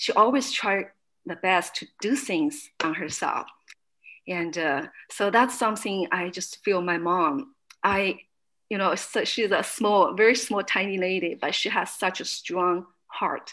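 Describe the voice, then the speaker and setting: Lively intonation and a bright, sharp tone with a Chinese accent, in a very clean recording over a silent background. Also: woman, medium pitch for a woman. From China. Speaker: fitness studio owner. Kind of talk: interview testimony. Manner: halting.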